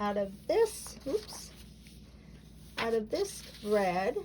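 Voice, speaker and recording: There is noticeable background noise behind a woman as she speaks. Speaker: quilting teacher. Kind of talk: tutorial. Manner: casual, chatty.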